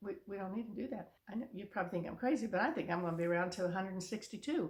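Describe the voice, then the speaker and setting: At a very fast pace, a woman speaks at a medium pitch, somewhat breathy, with ordinary pitch variation. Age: 70s. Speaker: vlogger giving life advice to seniors. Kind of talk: casual direct-to-camera monologue. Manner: halting, with many restarts and fillers.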